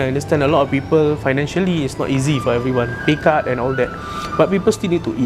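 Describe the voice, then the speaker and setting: Music plays in the background. The voice is soft-spoken with lively intonation. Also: man. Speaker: restaurant owner. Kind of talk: interview answer.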